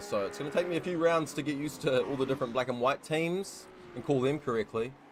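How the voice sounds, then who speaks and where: A man speaks with a New Zealand accent and lively intonation. His pace is very fast. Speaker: sim racing commentator. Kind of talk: live commentary. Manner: casual, filler-heavy.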